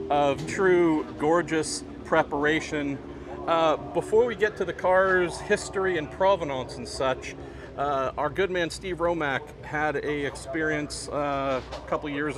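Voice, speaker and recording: A man talks fairly slowly, with ordinary pitch variation, as noticeable background noise carries on behind him. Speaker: motorsport reporter. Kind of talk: casual vlog chat. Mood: friendly, enthusiastic. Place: street. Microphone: phone near.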